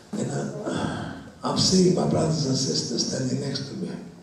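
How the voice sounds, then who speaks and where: The speech moves at a moderate pace. Noticeable background noise and audible room echo come through. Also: man. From Romania. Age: 80s+. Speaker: Holocaust survivor speaking to students. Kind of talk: testimony. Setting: school talk with audience. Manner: halting.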